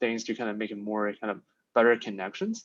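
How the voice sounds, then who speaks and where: A man speaks with a non-native accent. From outside the US, international student. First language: not English. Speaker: finance student, coaching client. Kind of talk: interview. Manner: hesitant, many fillers.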